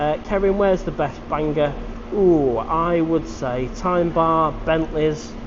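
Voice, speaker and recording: A man with a Manchester accent speaks at a very slow pace, at a fairly high pitch with fairly even intonation. Noticeable background noise and audible room echo fill the recording. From northern England, Manchester. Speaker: live-stream vlogger. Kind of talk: live stream chat reading comments. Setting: live stream.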